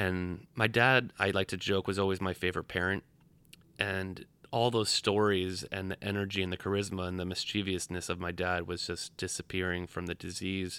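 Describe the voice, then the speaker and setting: The tone is bright and sharp, at a moderate pace. The recording is very clean, with a silent background. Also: man. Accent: American. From Rhode Island, US. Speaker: bereaved caregiver and theatre maker. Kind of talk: interview storytelling.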